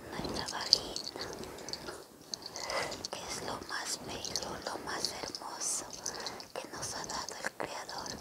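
With long, frequent pauses, a woman talks at a very slow pace. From Ecuador. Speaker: spiritual healer. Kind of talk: guided spiritual cleansing, ASMR healing session. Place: home room.

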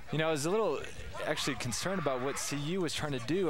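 A man speaks in an animated tone with lively intonation. Music plays in the background. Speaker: color commentator. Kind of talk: live sports commentary. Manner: animated, explaining replays.

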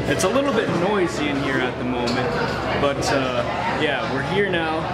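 There is clear music in the background. Over it, a man speaks at a moderate pace. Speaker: vlogger. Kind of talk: casual vlog chat. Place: cafe. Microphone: phone near.

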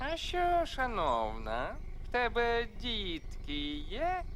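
Through clear background noise, a put-on character voice with a fairly high pitch speaks at a very slow pace. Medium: fan dub. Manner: pompous, sly.

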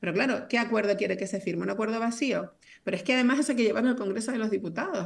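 At a very fast pace, a woman speaks with a Canarian accent. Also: fairly high pitch for a woman, ordinary pitch variation. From Canary Islands, Telde (Gran Canaria); Canary Islands, Spain. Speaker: politician. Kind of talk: political debate. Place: home room. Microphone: video call.

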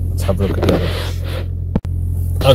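A man is talking. The sound is dry with no echo, and there is noticeable background noise. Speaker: food vlogger. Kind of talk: casual vlog chat. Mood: curious, excited. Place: car. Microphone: phone near.

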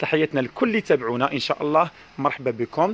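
A man races along at a very fast pace in a dry sound with no echo. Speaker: shop seller. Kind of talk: live product presentation. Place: shop. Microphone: phone near.

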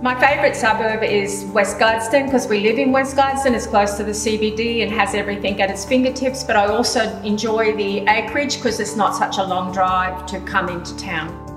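Clear music plays behind a woman with a fairly high voice. She talks at a fairly quick pace with ordinary pitch variation and hardly any pauses. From Australia, Queensland. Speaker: real estate sales specialist and auctioneer. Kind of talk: promotional interview answer to camera. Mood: warm, pleased. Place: kitchen.

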